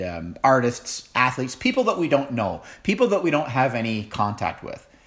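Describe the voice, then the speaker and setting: There is audible room echo around this man as he talks. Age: 40s. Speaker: pastor. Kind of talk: sermon.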